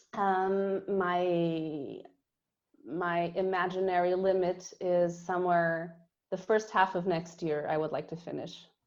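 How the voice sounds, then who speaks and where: A woman's fairly low, monotone voice with flat intonation, at a very slow pace, in a Portuguese accent. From Portugal. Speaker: marine biologist. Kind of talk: podcast interview. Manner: halting.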